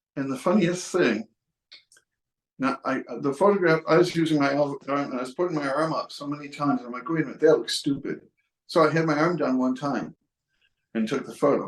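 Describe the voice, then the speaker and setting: A man with an American accent talks at a fairly quick pace, with long, frequent pauses, big swings in loudness and ordinary pitch variation. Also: fairly high pitch for a man. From Western New York. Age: 60s. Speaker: photographer. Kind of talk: casual tutorial and personal story. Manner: halting, many fillers and restarts.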